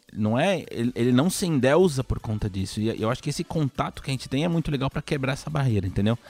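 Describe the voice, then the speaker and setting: A man's medium-pitched voice with lively intonation, a very fast pace and hardly any pauses. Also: dry, close sound with no echo. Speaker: video game journalist. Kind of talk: casual chat.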